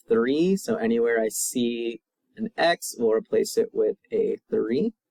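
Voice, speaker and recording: A man's voice with very wide pitch swings, dry and close with no echo. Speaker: math teacher. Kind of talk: video lesson.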